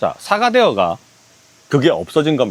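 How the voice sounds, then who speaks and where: A man speaks with very wide pitch swings. The sound is dry and close with no echo. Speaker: camping gear reviewer. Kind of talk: product review.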